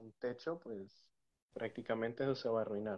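A man speaks at a fairly slow pace. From Mexico. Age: 30s. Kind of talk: casual interview with testimony.

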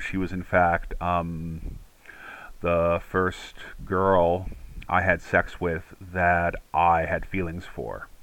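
A man's pitch is very deep and low. He is the one speaking. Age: 50s. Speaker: mental health podcast host. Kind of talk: casual personal monologue. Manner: hesitant with many fillers.

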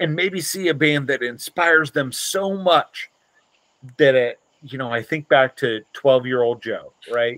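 An unremarkable speaking voice belongs to a man with an American accent, fairly high pitch and ordinary pitch variation. He talks at a fairly slow pace, and the sound is dry and close with no echo. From US Midwest, Dayton, Ohio. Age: 40s. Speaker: punk musician. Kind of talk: casual chat.

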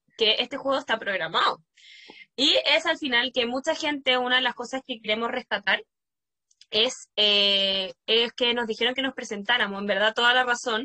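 A woman's high-pitched voice with a bright, sharp tone and a Chilean accent, dry and close with no echo. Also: ordinary pitch variation, moderate pace. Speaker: podcast host and primary school teacher. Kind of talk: casual chat.

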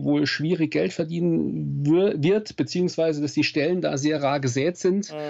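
This man has a normal speaking voice, fairly high in pitch, with ordinary pitch variation at a moderate pace. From Saarland, southwest Germany. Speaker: nature photographer and speaker. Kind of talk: interview.

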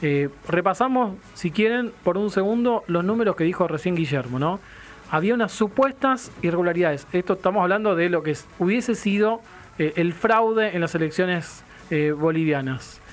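The intonation is lively while the loudness stays very even throughout. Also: man, high pitch for a man, moderate pace. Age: 40s. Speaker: radio host. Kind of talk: radio talk show.

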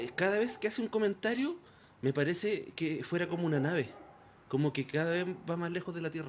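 A high-pitched male voice. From Chile, Concepción. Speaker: radio host. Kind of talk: casual chat. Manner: halting.

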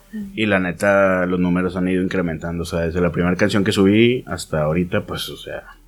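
A man with a very deep, low voice talks at a very fast pace with hardly any pauses. His intonation stays fairly even over noticeable background noise. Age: 20s. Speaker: rapper / solo musician. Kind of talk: casual chat. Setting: studio.

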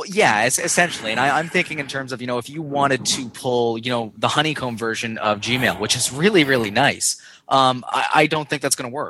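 A man with a Canadian accent speaks at a medium pitch in a bright, sharp tone. His pitch varies in an ordinary way, and he leaves hardly any pauses. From Canada. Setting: Skype call.

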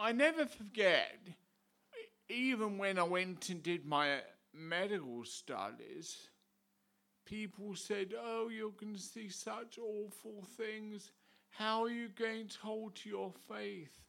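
A man's raised, projected voice, high-pitched with a bright, sharp tone, very slow, with big swings in loudness and audible room echo. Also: ordinary pitch variation. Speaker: visiting preacher and ordained priest. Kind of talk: sermon.

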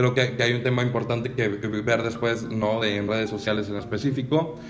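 A man with a Mexican accent at a moderate pace, medium in pitch with fairly even intonation, amid noticeable background noise and audible room echo. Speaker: podcast co-host. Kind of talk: casual chat.

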